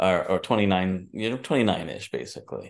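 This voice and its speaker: Against a quiet background, a man with a New York accent speaks at a fairly low pitch with fairly even intonation. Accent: New York area American. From New Jersey / New York. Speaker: entrepreneur and filmmaker. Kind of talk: interview.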